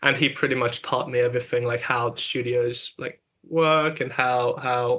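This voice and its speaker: At medium pitch, a man speaks at a moderate pace in a flat monotone with a bright, sharp tone. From Hungary. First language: Hungarian. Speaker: music producer and engineer. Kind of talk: interview. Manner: halting, many repetitions and fillers.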